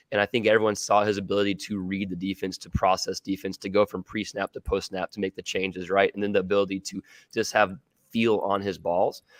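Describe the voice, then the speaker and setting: In a dry, close recording with no echo, a man with a fairly low pitch talks at a very fast pace in a monotone, flat delivery. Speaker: football analyst. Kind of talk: casual sports chat.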